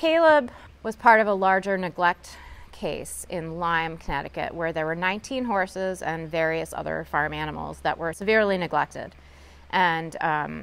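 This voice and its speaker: A woman's fairly low pitch, ordinary pitch variation, and moderate pace. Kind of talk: interview answer. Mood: emotional, recalls sad story. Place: stage. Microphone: lapel.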